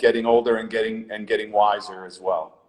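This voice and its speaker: A man at medium pitch, fairly quick pace, and monotone, flat intonation. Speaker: fitness coach. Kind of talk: casual interview chat. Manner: loud.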